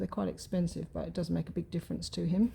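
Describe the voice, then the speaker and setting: A soft-spoken woman. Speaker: craft youtuber. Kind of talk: casual chat while crafting. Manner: soft-spoken, muttering to herself.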